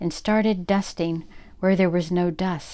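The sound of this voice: The speaker reads in an unforced reading voice with fairly even intonation.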